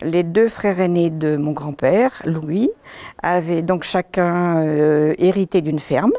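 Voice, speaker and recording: A woman at a very slow pace, fairly low in pitch, with a dark, mellow tone. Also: ordinary pitch variation. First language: Breton (speaking French). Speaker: author. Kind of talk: interview.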